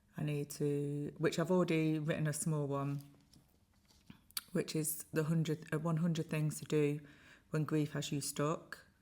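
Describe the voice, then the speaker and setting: On a very clean recording with a silent background, a woman speaks slowly at a very deep, low pitch, her dark, mellow tone held in monotone, flat intonation. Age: 50s. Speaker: grieving mother and grief content creator. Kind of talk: casual talk to camera.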